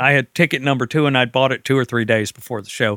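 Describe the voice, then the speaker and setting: Very fast male speech, dry and close with no echo, on a very clean recording with a silent background. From military family, partly raised in Germany. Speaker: rock guitarist. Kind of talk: interview. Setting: living room at home.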